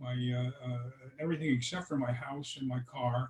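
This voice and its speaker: Somewhat breathy, a man talks at a moderate pace. His intonation is fairly even. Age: 80s+. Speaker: retired airline worker and investor. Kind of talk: interview. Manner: halting, many fillers.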